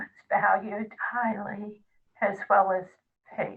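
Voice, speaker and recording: Her intonation stays monotone and flat as a woman speaks at a medium pitch. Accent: American. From New York. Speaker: retired teacher and support group leader. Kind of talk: interview.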